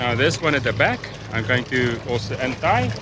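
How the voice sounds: With clear background noise, a man at medium pitch speaks with big pitch swings. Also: moderate pace.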